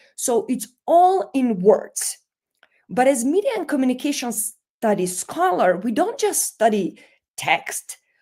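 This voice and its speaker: Very wide pitch swings mark this very slow delivery. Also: woman, high pitch for a woman. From North Macedonia. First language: Macedonian. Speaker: media and communication scholar. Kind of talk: lecture.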